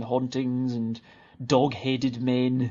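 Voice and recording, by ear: The tone is slightly mellow, in a Scottish accent. There is little pitch movement. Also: man.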